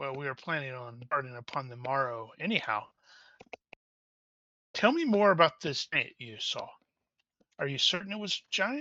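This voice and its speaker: A man's put-on character voice, fairly high-pitched, with lively intonation, big swings in loudness, a moderate pace and long, frequent pauses. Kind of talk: archaic fantasy speech. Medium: actual play. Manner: calm, laconic.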